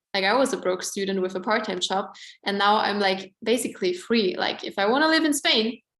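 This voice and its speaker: A woman with an Austrian accent, fairly quick pace and ordinary pitch variation. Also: medium pitch for a woman. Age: 20s. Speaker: network marketing presenter. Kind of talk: sales pitch. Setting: online event. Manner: casual, filler-heavy.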